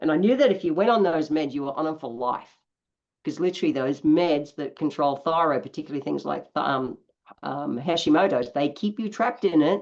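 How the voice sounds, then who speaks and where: A woman with an Australian accent speaks at a fairly quick pace with a very deep, low pitch and lively intonation against a quiet background. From Australia, east coast. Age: 60s. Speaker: naturopath. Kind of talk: interview.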